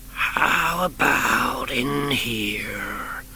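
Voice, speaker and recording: Over clear background noise, a man puts on a character voice. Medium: read story. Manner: folksy, drawling.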